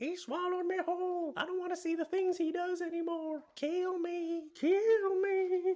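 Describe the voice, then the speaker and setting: A put-on character voice at extremely high pitch, moderate in pace with hardly any pauses. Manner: pleading, desperate.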